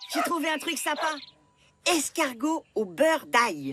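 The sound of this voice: In a cartoonish character voice, a woman speaks slowly-ish with a high pitch, big pitch swings and a fairly bright tone.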